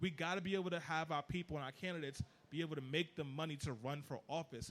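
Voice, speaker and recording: Fairly high in pitch, a man speaks at a very fast pace. His tone is animated. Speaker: political activist. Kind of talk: panel discussion.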